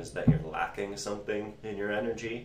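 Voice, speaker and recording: A man talks fairly quickly, with noticeable noise in the background. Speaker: tarot reader. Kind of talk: live-stream tarot reading. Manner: casual, hesitant with many fillers.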